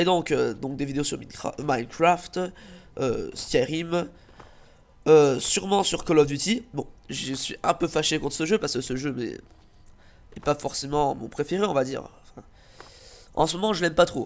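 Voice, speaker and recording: This man's pitch is fairly high, with ordinary variation, and his pace is fairly slow. His loudness swings widely, and he takes long, frequent pauses. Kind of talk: channel introduction video.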